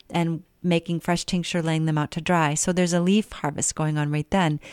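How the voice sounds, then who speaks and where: At a moderate pace, a woman talks in a plain, everyday voice, fairly low-pitched and fairly even in intonation, with dry, close sound, no echo, and a very clean recording against silence. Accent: American. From western Maine, US. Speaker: herbalist and organic gardener. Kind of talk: radio interview. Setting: radio studio.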